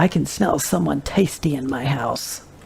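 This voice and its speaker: At a moderate pace, a put-on character voice in a low-to-middle pitch comes through over light background noise. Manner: menacing, hungry.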